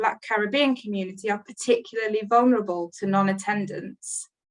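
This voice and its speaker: Delivered at a fairly quick pace, the voice shows ordinary pitch variation. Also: woman. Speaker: NHS leader presenting at a webinar. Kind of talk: webinar presentation. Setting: online webinar. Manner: fast.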